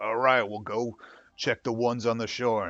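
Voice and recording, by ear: A man puts on a rumbling character voice at a medium pitch. He keeps a moderate pace over a quiet background.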